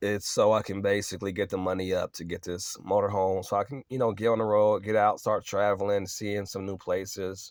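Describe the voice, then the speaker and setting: A man with a fairly low pitch talks at a fairly quick pace in a monotone, flat intonation. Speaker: vlogger. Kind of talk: casual vlog. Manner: hesitant, many fillers.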